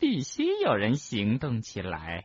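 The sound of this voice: Doing a put-on character voice, a man speaks at a fairly slow pace with a fairly low pitch, a slightly husky edge and very wide pitch swings, in a dry, close sound with no echo.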